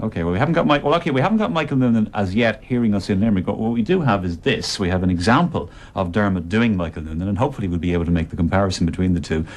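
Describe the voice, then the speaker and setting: A man with an Irish accent, fairly low in pitch, with lively intonation, a very fast pace and hardly any pauses. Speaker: radio presenter. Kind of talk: radio tribute show.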